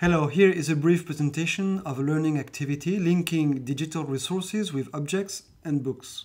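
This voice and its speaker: In a French accent, a man talks at a fairly quick pace. His pitch sits fairly high. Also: fairly even intonation, hardly any pauses. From France. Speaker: philosophy teacher. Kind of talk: scripted narration.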